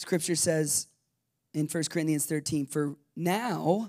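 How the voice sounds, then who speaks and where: In a very clean recording with a silent background, a man with a fairly high pitch and an animated tone speaks at a fairly slow pace. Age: 30s. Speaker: pastor. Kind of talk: sermon. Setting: church.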